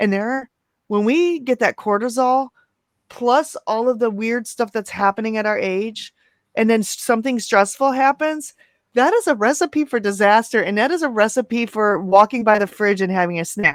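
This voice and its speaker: A woman has a normal speaking voice at a fairly high pitch with ordinary pitch variation. She speaks at a moderate pace, with a dry, close sound and no echo. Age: 40s. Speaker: keto coach and live-stream host. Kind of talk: casual chat. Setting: live stream video call.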